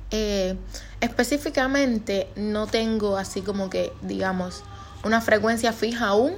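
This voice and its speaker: Against noticeable background noise, a woman talks at a fairly high pitch and a fairly slow pace with ordinary pitch variation. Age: 20s. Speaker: podcaster and neurobiology student. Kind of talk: casual monologue.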